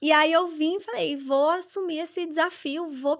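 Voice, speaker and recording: The speaker has a Brazilian accent and a moderate pace. Pitch varies in an ordinary way. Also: woman. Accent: Brazilian accent when speaking English. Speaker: real estate agent. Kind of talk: podcast interview. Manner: conversational.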